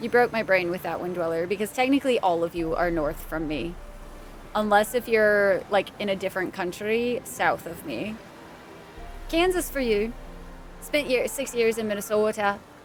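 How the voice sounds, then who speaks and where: A woman's medium-pitched voice at a moderate pace, with lively intonation and music in the background. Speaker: game streamer. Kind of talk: live gameplay stream chat. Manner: animated.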